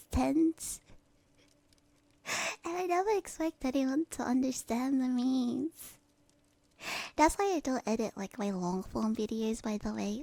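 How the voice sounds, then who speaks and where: Whispering at a fairly slow pace with long, frequent pauses, a woman is recorded dry and close with no echo. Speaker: streamer. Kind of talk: ASMR stream chat. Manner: whispered.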